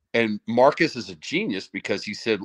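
Against a quiet background, a man speaks at a fairly quick pace with ordinary pitch variation in a dry sound with no echo. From US South. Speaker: former college football player; guest. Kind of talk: casual chat. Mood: animated, smiling storytelling. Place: home room. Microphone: video call.

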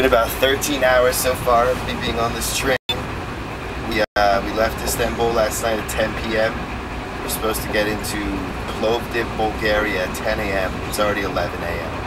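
The speaker goes at a fairly quick pace over loud background noise. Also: man. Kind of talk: casual vlog chat. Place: train. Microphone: phone near.

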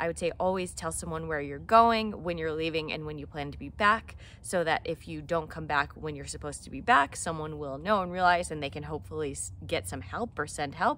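Over light background noise, a woman talks fairly quickly with vocal fry, a very deep, low pitch, a bright, sharp tone, lively intonation and big swings in loudness. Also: dry sound with no echo. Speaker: hiking vlogger. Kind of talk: casual vlog chat. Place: garden. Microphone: phone near.

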